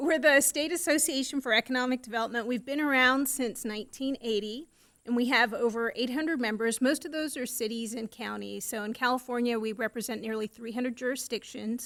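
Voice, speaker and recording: A loud, high-pitched woman at a fairly quick pace, with fairly even intonation and hardly any pauses. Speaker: economic development association executive. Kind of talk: presentation. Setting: city council meeting. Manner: fast.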